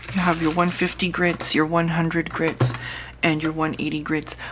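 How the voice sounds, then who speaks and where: Noticeable background noise sits behind a woman whose very deep, low voice stays monotone and flat. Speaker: nail tech youtuber. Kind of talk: tutorial. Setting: home. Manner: casual.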